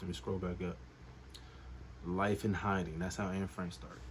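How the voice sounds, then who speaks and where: An animated, somewhat breathy man with a very deep, low voice, lively intonation and a moderate pace. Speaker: comedian. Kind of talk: comedic monologue. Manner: whispering.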